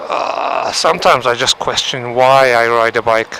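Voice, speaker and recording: Through noticeable background noise, a man speaks with monotone, flat intonation. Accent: Turkish. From Turkey. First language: Turkish. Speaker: motorcycle vlogger. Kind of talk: casual vlog monologue. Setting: riding a motorcycle in traffic.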